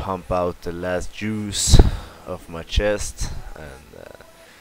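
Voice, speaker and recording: A man with a Swedish accent speaks at a very slow pace in a very deep, low pitch, with noticeable background noise behind him. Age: 20s. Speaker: fitness youtuber, physique competitor. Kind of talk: workout voice-over narration. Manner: hesitant, with filler sounds. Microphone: poor microphone.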